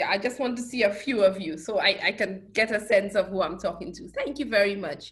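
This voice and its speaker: A woman speaks with a Saint Lucian accent at a moderate pace. Her pitch is medium. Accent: Caribbean (Saint Lucian). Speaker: professor. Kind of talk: lecture.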